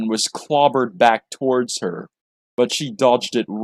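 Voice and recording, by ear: The voice is reading aloud in a natural voice. Behind it, the background stays quiet.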